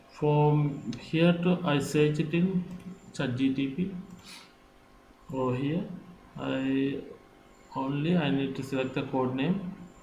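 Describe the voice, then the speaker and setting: A man speaks at a very slow pace with long, frequent pauses. Room echo is audible. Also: ordinary pitch variation. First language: not English. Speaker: software tutorial maker. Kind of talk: tutorial. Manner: halting.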